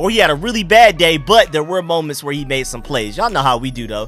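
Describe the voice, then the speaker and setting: A man talks at a very fast pace. Faint music plays in the background, and the sound is dry with no echo. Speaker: sports fan channel host. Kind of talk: sports commentary vlog. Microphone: studio mic.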